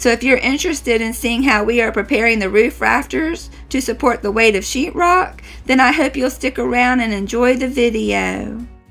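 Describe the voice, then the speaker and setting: A woman at a moderate pace, music in the background. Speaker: home renovation vlogger. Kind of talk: voice-over narration.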